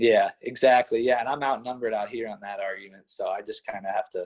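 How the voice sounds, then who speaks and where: Recorded with a dry, close sound and no echo, a man with an American accent talks at a fairly quick pace. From western Pennsylvania, Pittsburgh area. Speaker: college wrestler. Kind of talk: casual interview chat.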